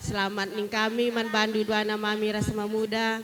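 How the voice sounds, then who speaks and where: Over noticeable background noise, the words come out at a fairly slow pace. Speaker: wedding guest giving speech. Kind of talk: ceremonial speech. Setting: wedding party.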